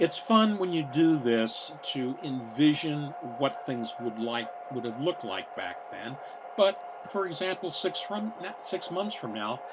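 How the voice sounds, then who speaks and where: With an American accent, a man speaks fairly slowly at a fairly high pitch, swinging very widely in pitch against noticeable background noise. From US Midwest, Cincinnati, Ohio. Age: 70s. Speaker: model railroader, navy veteran. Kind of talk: layout tour narration. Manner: hesitant, many filler words.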